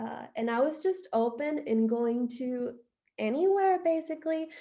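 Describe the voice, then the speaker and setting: Speaking at a fairly slow pace, a woman with a Spanish accent has a high pitch. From Honduras, Tegucigalpa. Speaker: expat interviewee. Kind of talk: interview. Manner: casual, many fillers.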